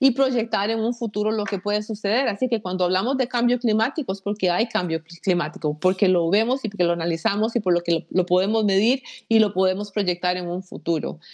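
Over a quiet background, the voice moves at a fairly quick pace with ordinary pitch variation. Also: woman. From Costa Rica. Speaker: aerospace engineer. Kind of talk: interview. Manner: halting, many fillers.

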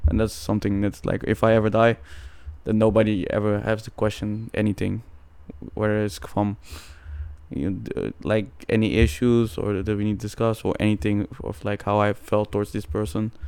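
At a moderate pace, a man talks in an unremarkable speaking voice with fairly even intonation. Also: fairly low pitch for a man. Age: 20s. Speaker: podcast co-host. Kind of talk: casual chat.

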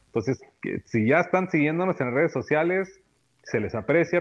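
A man speaks with very wide pitch swings. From US-born of Nicaraguan family. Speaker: deck builder, business owner. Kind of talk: interview.

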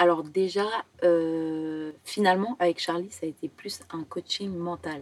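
Talking at a very slow pace, a woman with a fairly low pitch keeps a fairly even intonation while her loudness swings widely. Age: 20s. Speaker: professional dancer and acrobat. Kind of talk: personal testimony in podcast interview. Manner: halting.

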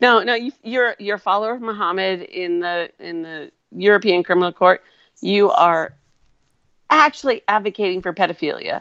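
At a moderate pace, a woman with an American accent and an ordinary speaking voice talks at medium pitch with ordinary pitch variation and big swings in loudness. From Wisconsin. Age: 40s. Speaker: co-host guest, commentator. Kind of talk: casual chat. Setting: live video stream.

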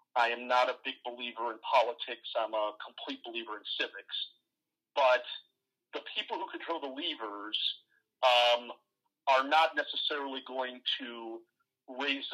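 This man speaks at a fairly slow pace in a medium pitch. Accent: Midwestern American. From US Midwest, Ohio. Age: 40s. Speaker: entrepreneur and advisor. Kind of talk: interview.

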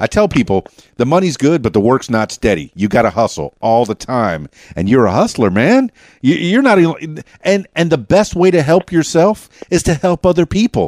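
In a dry, close recording with no echo, a man with an American accent talks at a moderate pace and medium pitch, with very wide pitch swings and vocal fry. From US South, Central Arkansas. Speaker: podcast host and DJ. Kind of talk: casual interview chat. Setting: studio. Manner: stutters; animated.

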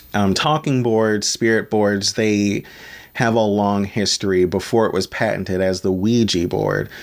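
An unremarkable speaking voice belongs to a man with an American accent, talking at a fairly slow pace with fairly low pitch, fairly even intonation and very even loudness. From Maryland, US. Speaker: podcast host. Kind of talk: solo podcast monologue. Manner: casual, with fillers.

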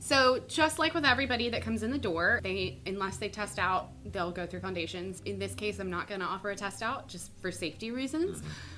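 Hardly pausing at all, a woman speaks at a very fast pace. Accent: Southern US. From Mississippi, US South. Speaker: fitness coach. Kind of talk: casual chat.

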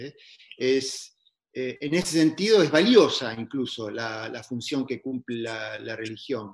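The voice moves at a very slow pace, with big swings in loudness and ordinary pitch variation. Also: man, medium pitch for a man. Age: 50s. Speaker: astrologer. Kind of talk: casual interview conversation. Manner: halting, many repetitions.

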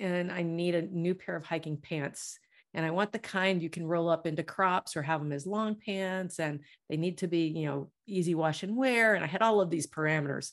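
With a quiet background, a woman talks at a moderate tempo. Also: ordinary pitch variation. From US South. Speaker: intuitive healer and novelist. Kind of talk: casual interview chat.

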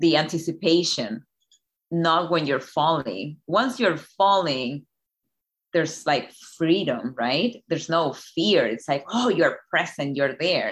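Lively in intonation, a woman speaks fairly slowly at a fairly low pitch. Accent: Spanish. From Chile. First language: Spanish. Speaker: life coach. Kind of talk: interview.

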